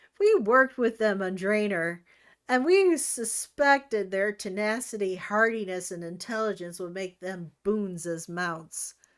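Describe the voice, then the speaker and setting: A woman uses a put-on character voice, raspy and at a medium pitch. She keeps a moderate pace while her loudness swings widely. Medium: read story.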